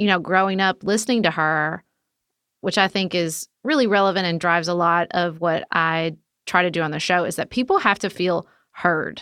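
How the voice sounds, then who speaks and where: A woman with a bright, sharp tone and medium pitch speaks at a moderate pace in a very clean recording with a silent background and a dry, close sound with no echo. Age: 40s. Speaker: political podcast co-host. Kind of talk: interview.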